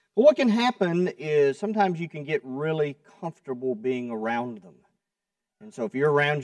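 Nothing much stirs behind the voice. The recording has no echo and sounds dry. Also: man. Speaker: preacher. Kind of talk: sermon. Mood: relaxed, light humor. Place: church. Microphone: podium.

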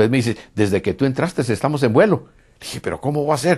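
A man at a very fast pace with lively intonation, over a quiet background. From Costa Rica. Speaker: UFO contactee; interviewee. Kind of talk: interview testimony. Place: home room. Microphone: lapel.

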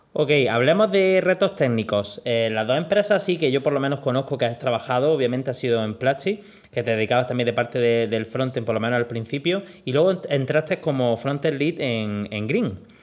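Here a man with a plain, everyday voice speaks at a medium pitch and fairly quick pace, his intonation lively. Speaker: interviewer and programming teacher. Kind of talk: interview.

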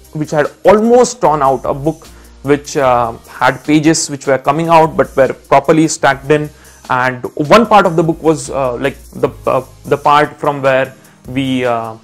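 Faint background music accompanies the clip. A man talks fairly slowly. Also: ordinary pitch variation. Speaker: educator. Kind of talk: lecture with anecdote. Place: home room. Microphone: lapel.

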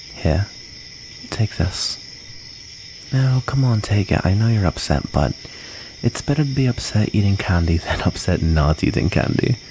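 A man with a gentle tone and a fairly low voice speaks with lively intonation, leaving long, frequent pauses over noticeable background noise. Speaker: ASMR roleplay performer. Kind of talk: ASMR roleplay, soothing in-character comfort storytelling. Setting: close-mic ASMR recording. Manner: soft, gentle and intimate, slow and tender; wistful, halting and vulnerable while recounting being bullied. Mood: gentle, comforting, playful. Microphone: studio mic.

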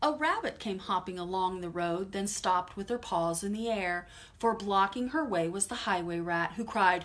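Ordinary pitch variation across an unforced reading voice

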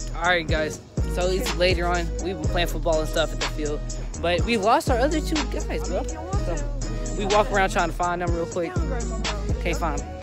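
A moderate-paced voice, dry with no echo, over clear background music. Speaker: vlogger. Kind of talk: casual vlog chat. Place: open country. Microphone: phone near.

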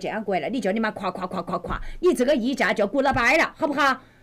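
A woman talks at a fairly quick pace with very wide pitch swings over noticeable background noise. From Wuhan, China. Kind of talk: livestream real-estate advice. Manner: brash, fast, heavy swearing.

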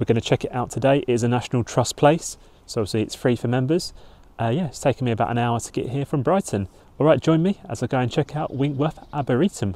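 The recording of this man's voice is dry, with no echo. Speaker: travel vlogger. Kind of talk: casual vlog chat. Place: forest. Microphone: phone near.

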